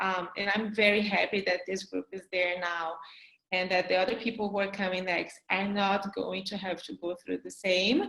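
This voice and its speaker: Speaking with a non-native accent, a woman has a medium-pitched voice. Her pace is fairly slow. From Brazil. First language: not English. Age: 40s. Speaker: graduate student, panelist. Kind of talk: panel discussion.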